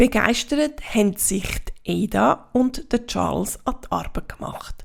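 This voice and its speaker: A woman speaks with a Swiss German accent. Her pace is very slow. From Switzerland. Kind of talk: children's story reading.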